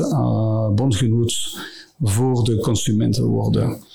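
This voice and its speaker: A man talks very slowly, with noticeable background noise and audible room echo around him. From Brussels area, Belgium. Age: 50s. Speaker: company CEO. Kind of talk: interview. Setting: studio. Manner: halting.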